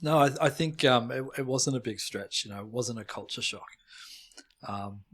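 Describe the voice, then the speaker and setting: A man's medium-pitched voice with an Australian accent, at a moderate pace, with ordinary pitch variation and big swings in loudness. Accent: Australian, noticeable. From Australia, Melbourne. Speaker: molecular and computational biologist. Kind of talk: casual interview chat. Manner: halting, repeats words.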